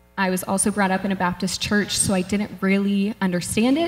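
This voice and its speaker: A woman, somewhat breathy. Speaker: church member sharing testimony. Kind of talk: testimony. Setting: stage with audience. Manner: halting. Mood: earnest, a bit nervous. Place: church. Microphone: handheld.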